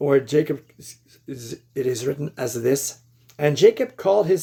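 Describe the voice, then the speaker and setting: A man speaks at a moderate pace in a fairly high-pitched, somewhat breathy voice. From Quebec, Canada. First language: French. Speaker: lay Bible teacher. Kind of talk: religious exposition monologue. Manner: halting, with many fillers and repeats.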